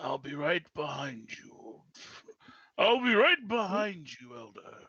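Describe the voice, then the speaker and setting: At a fairly slow pace, a man in a raspy, put-on character voice with a high pitch makes very wide pitch swings and big swings in loudness. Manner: whispering.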